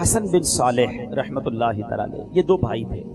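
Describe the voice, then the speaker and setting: Music plays in the background as a man speaks. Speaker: Islamic preacher. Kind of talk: religious sermon (bayan) to a live audience.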